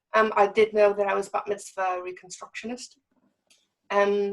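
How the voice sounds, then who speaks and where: In a monotone, flat intonation, a woman of medium pitch speaks with an American accent. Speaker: synagogue member. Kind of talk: interview. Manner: halting, many fillers.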